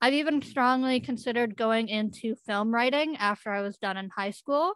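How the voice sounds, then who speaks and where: A woman with a western Canadian accent speaks in a bright, sharp tone at a fairly high pitch, with ordinary pitch variation. The recording is very clean with a silent background, and the sound is dry and close with no echo. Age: 20s. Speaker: youth speaker with a facial difference. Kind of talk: presentation.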